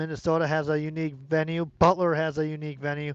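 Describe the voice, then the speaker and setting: The voice moves at a moderate pace against a quiet background. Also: man. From United States. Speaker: sports channel streamer. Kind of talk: casual live-stream chat. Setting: outdoors. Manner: hesitant, many fillers and repetitions; loud.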